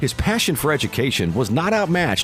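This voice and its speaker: A man's pitch swings very widely as he talks fairly quickly, with music behind him. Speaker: documentary narrator. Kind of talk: documentary narration.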